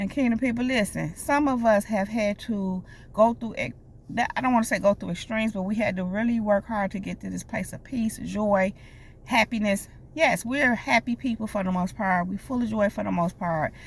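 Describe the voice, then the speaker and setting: With ordinary pitch variation, a woman speaks in a somewhat breathy voice. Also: fairly high pitch for a woman, moderate pace. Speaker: life coach and prophetic speaker. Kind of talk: prophetic message to viewers. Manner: occasional stutter, pushing words out; animated, direct address.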